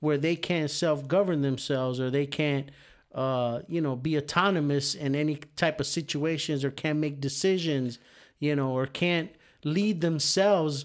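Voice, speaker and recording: Recorded very cleanly against a silent background, a man with an unremarkable speaking voice talks at a moderate pace and fairly high pitch, his intonation fairly even. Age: 50s. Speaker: podcast co-host. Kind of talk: casual chat.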